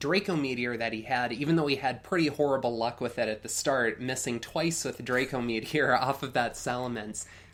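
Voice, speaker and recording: A man speaks in an unremarkable speaking voice at a medium pitch. His intonation is fairly even. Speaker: podcast co-host auditioning as Pokemon tournament commentator. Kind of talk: sports-style esports commentary.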